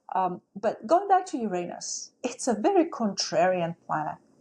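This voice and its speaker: Against a quiet background, a woman speaks with a non-native accent and ordinary pitch variation. Her voice is somewhat breathy, with a dark, mellow tone. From outside the United States. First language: not English. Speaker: astrology teacher. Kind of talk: casual talk.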